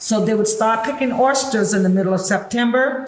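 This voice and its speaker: A woman speaks at a moderate pace and a fairly high pitch. Her voice has audible room echo and noticeable background noise. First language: Gullah. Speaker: historical interpreter, tour guide. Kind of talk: interview, explaining to a visitor. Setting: on-site at a heritage museum.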